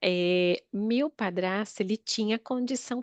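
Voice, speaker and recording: In a normal speaking voice, a woman talks at a medium pitch with ordinary pitch variation, her sound dry and close with no echo against a quiet background. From Northeast Brazil, Natal. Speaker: therapy client. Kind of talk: therapy session, personal life story.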